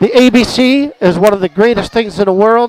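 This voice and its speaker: Noticeable background noise behind a man at a fairly quick pace with ordinary pitch variation. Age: 60s. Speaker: amateur bowler, tournament winner. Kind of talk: post-event interview thank-you.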